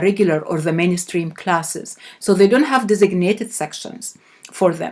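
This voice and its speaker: A woman with an Arabic accent and ordinary pitch variation. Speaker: professor. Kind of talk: lecture. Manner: halting.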